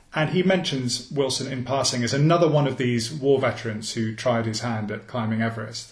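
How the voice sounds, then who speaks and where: Talking at a fairly quick pace with hardly any pauses, a man uses a medium pitch and ordinary pitch variation amid audible room echo and noticeable background noise. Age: 40s. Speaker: journalist and author. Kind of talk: interview.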